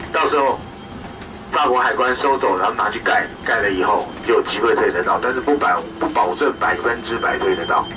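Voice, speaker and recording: The man keeps a moderate pace. Noticeable background noise sits behind him. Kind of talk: announcement to tour group. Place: bus.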